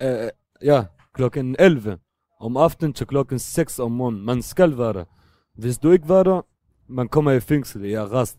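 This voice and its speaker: A medium-pitched man with a dark, mellow tone and lively intonation, long, frequent pauses, and dry, close sound with no echo. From Syria, Damascus. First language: Arabic (speaking Danish). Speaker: refugee and drug user. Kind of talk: interview. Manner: halting.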